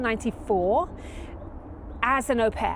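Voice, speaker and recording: Noticeable background noise sits behind a voice with an American accent. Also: woman. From southern England. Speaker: professional organizer. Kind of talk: podcast interview. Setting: outdoors in a backyard.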